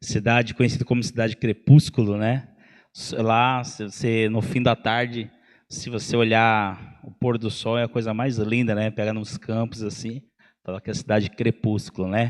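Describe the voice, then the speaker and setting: Over a quiet background, the speaker keeps a monotone, flat intonation at a moderate pace while the loudness swings widely. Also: man, medium pitch for a man. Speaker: pastor. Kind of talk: sermon. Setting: church.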